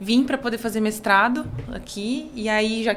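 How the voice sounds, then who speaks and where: A woman speaks at a fairly high pitch with fairly even intonation. Music plays in the background. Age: 20s. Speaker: university lecturer and psychodrama researcher. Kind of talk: podcast interview.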